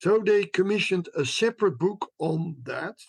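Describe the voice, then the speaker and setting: A man in a Dutch accent, at a fairly slow pace. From Netherlands. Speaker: history professor. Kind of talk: interview.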